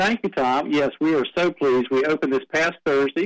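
A fairly high-pitched man with a North Carolina accent at a moderate pace, in a dry, close sound with no echo. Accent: Southern US (North Carolina). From North Carolina, Dunn and Wilmington. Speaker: museum director. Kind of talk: radio interview.

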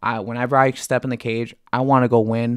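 Against a quiet background, a man of medium pitch speaks with monotone, flat intonation in a dry, close sound with no echo. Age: 30s. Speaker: UFC fighter, co-host. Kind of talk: casual chat. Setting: studio.

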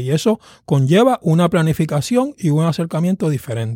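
In a very clean recording with a silent background and a dry, close sound with no echo, a high-pitched man with a dark, mellow tone swings his pitch very widely. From Puerto Rico, Caguas. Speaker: pastor and seminary professor. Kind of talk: interview on preaching. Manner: halting, repeats words.

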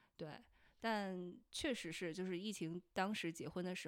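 With an unremarkable speaking voice, a woman talks in a fairly low register, her pitch varying in an ordinary way. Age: 30s. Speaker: podcast host. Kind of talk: casual chat.

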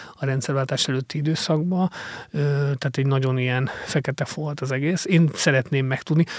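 A man's fairly high voice with fairly even intonation, a dry, close sound with no echo, and noticeable background noise. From Hungary, Mór (Fejér county). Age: 40s. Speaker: investigative journalist and author. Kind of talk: interview. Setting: studio. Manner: halting, many fillers.

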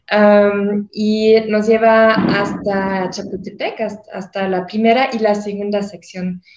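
A woman with a German accent speaks at a very slow pace and medium pitch. Her intonation is monotone and flat. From Germany. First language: German (speaking Spanish). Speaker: tour guide. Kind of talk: casual chat.

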